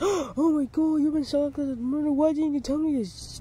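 A high-pitched voice at a fairly quick pace, with clear background noise. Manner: shocked, panicked.

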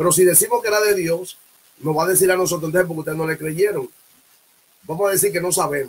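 A man speaks at a very fast pace in a high voice with an animated tone. His speech is broken by long, frequent pauses. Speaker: preacher and livestream host; preacher, livestream host. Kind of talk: sermon with prayer and exhortation. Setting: live broadcast early morning. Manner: fervent, animated, punctuated by constant 'alabado sea el nombre del Señor' refrains. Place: home room. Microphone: webcam.

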